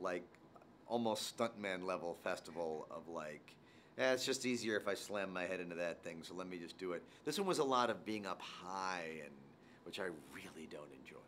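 This man has a very deep, low voice with ordinary pitch variation and big swings in loudness, heard over light background noise. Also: moderate pace. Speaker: actor promoting a film. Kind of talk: interview answer. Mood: amused, joking.

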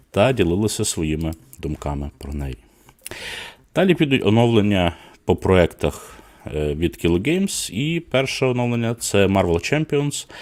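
A man speaks at a moderate pace in a fairly low pitch. His pitch swings very widely. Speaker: board game news host. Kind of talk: live stream news roundup. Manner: filler-heavy, hesitant (e, e).

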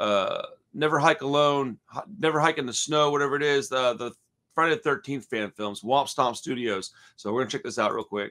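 Against a quiet background, a man talks at a fairly quick pace in a bright, sharp tone. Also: lively intonation. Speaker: horror news streamer. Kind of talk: casual commentary. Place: home room. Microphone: earbuds.

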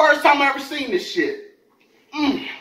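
A man speaks in a raised, projected voice with an animated tone, with audible room echo over a quiet background. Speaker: food YouTuber. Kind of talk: storytelling rant while eating (mukbang). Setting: home video, eating on camera. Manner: animated, profane, rapid-fire slangy storytelling; casual, conversational, addressing viewers directly. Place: home room. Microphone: camera far.

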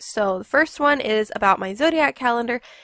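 Lively intonation carries a woman's fairly quick speech. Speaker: art YouTuber. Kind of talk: product unboxing and review. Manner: casual, chatty.

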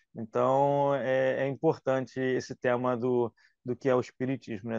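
A man speaks in a monotone, flat way. The sound is dry with no echo and a quiet background. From Brazil, Rio de Janeiro. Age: 40s. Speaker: religious youth leader. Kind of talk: casual radio interview. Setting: radio studio. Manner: halting, many fillers. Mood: warm, relaxed. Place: home room. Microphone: video call.

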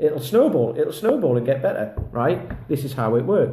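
The voice is somewhat breathy. Audible room echo can be heard. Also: man. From England. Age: 40s. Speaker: kettlebell fitness coach; kettlebell coach. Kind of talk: casual vlog monologue. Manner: rambling, filler-heavy. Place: home room. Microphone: phone near.

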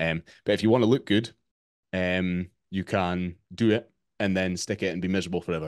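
With a Scottish accent, the speaker talks at a fairly quick pace and with fairly even intonation over a quiet background. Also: man, very deep, low pitch for a man. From Scotland. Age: 30s. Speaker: fitness coach. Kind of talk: interview. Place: home room.

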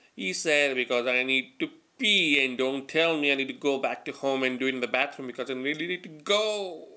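A man with a bright, sharp tone, a fairly quick pace and hardly any pauses, against a quiet background. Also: ordinary pitch variation. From South Asia. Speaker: amateur comedian. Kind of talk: stand-up monologue to camera; casual stand-up storytelling vlog. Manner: halting, many fillers and repetitions. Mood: playful, animated storytelling. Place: home room. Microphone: webcam.

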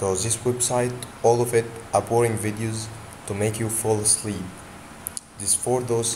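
A man talks at a moderate pace and medium pitch, his intonation monotone and flat, while noticeable background noise carries on. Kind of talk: tutorial. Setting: screen recording. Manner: halting, with frequent repetitions and fillers.

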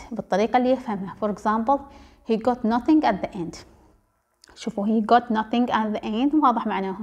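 Fairly high-pitched and somewhat breathy, a woman speaks at a moderate pace with ordinary pitch variation. She leaves long, frequent pauses. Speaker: translation lecturer. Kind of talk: lecture.

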